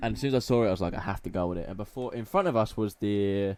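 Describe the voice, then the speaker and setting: A man's fairly low-pitched voice in an Essex accent, dark and mellow in tone, at a very fast pace with ordinary pitch variation. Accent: Essex London. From Essex / London, England. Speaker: podcast host. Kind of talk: casual chat. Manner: animated.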